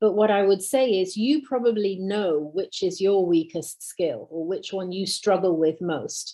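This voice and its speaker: Dark, mellow tone in a British accent, at a fairly slow pace with hardly any pauses. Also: woman, medium pitch for a woman, ordinary pitch variation. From Britain. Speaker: university English teacher. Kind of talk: Q&A session. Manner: hesitant with fillers.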